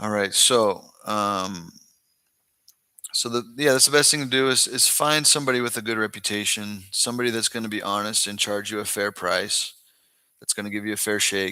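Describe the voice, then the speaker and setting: Speaking at a moderate pace with an American accent, a man with a fairly low pitch uses ordinary pitch variation and has a bright, sharp tone. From Northern California, US. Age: 30s. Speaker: expat content creator. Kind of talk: live-stream Q&A. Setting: live stream.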